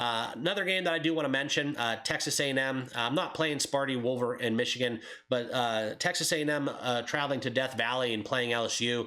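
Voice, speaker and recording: A man's medium-pitched voice at a fairly quick pace, with ordinary pitch variation over noticeable background noise. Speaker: sports betting YouTuber. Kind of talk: casual sports betting picks monologue. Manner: hesitant, many fillers (uh, um).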